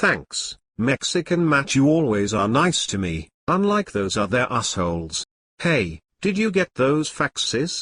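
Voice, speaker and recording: A man does a put-on character voice at a fairly high pitch, moving at a fairly slow pace with very wide pitch swings. The sound is dry and close with no echo, over a quiet background. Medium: comedy sketch. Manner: naive, friendly.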